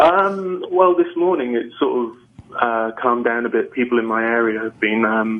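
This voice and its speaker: A man speaks with an English accent at a moderate pace. Noticeable background noise runs underneath. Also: medium pitch for a man, lively intonation. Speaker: caller. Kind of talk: phone-in call on talk radio. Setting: phone call. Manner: halting, many fillers.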